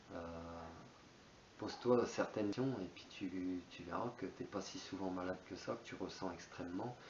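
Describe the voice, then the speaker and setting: A man speaks in a very deep, low pitch. His delivery is fairly slow, with fairly even intonation. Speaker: spiritual YouTuber. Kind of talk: monologue on spirituality. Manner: hesitant, many fillers.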